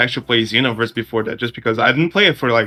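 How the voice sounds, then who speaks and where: Music plays in the background as a man speaks with a Portuguese accent. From Brazil. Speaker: discord admin, podcast co-host. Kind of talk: casual chat.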